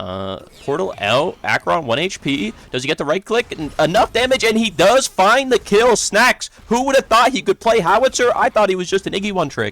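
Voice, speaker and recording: Speaking with a high pitch and hardly any pauses, the man sounds animated, with lively intonation and a dry, close sound with no echo. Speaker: esports caster and streamer. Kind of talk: live commentary. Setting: home live stream. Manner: fast.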